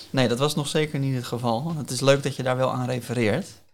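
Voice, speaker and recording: An unremarkable speaking voice from a man, medium in pitch, fairly quick, with fairly even intonation on a very clean recording over a silent background. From Netherlands, Hillegom (Bollenstreek, South Holland). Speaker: career coach. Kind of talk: interview.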